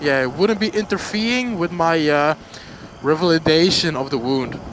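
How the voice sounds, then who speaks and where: Lively intonation carries the speech, delivered in a Flemish Belgian accent. Noticeable background noise runs underneath. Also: man, fairly high pitch for a man, moderate pace. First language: Dutch. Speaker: motorcycle vlogger. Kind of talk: casual storytime vlog. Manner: halting, many fillers.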